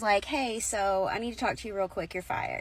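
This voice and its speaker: The tone is animated. Vocal fry runs through the voice. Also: woman. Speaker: storyteller. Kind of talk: casual storytelling.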